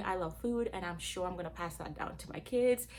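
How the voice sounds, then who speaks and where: A woman with a Gambian accent speaks with audible room echo. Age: 20s. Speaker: cooking channel host. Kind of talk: casual vlog introduction.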